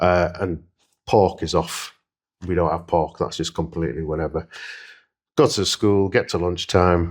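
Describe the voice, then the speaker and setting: A man speaks with a very deep, low pitch and fairly even intonation at a moderate pace. Long, frequent pauses fill a very clean recording with a silent background. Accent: Yorkshire. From Leeds, northern England. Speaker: interviewee. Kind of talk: interview; personal testimony. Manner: hesitant, many fillers.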